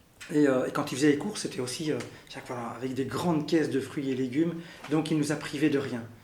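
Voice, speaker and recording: Over audible room echo, a man talks at a very fast pace with fairly high pitch and fairly even intonation. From Belgium, Brussels. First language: Arabic (speaking French). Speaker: interviewee sharing family history. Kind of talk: interview testimony. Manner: halting, many fillers.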